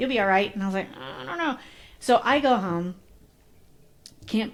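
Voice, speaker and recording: Her animated, medium-pitched voice swings very widely in pitch as the woman speaks at a moderate pace. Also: big swings in loudness. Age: 40s. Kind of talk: casual interview conversation. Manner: animated storytelling.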